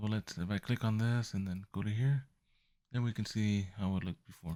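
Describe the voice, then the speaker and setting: A man's dark, mellow tone comes through in a dry, close sound with no echo. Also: fairly low pitch for a man, fairly even intonation, fairly quick pace. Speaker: photography youtuber. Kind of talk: tutorial. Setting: at home at night. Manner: soft-spoken; halting. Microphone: mic close to speaker.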